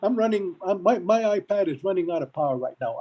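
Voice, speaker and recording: The speech moves at a moderate pace. Behind it, music is playing. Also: man. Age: 70s. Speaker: school board member. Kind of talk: board meeting debate. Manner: animated.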